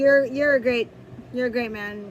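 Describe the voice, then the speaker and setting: A loud woman's voice, high in pitch. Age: 30s. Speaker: YouTuber. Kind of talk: casual chat. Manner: halting.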